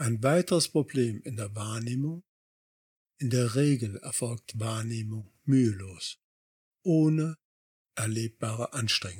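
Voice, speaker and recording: A man speaks very slowly at a medium pitch, his voice somewhat breathy with ordinary pitch variation. The sound is dry and close with no echo, recorded very cleanly against a silent background. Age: 60s. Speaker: life coach podcaster. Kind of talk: scripted narration. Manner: formal.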